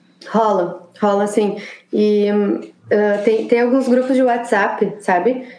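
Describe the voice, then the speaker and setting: Audible room echo surrounds a woman's voice at a very slow pace. Her intonation is fairly even and her loudness very even. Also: medium pitch for a woman. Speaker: architect living abroad. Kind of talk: casual interview.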